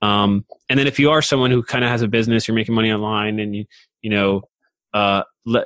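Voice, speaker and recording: Very fast speech comes with long, frequent pauses in a dry, close sound with no echo. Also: man. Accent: American. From US, Rhode Island. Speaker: podcast agency founder. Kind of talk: casual interview. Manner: halting, filler-heavy.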